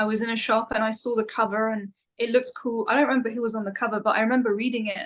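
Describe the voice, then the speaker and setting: Monotone, flat intonation runs through a very fast delivery. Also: woman, fairly high pitch for a woman. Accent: English. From England, London then countryside. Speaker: metal vocalist. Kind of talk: interview.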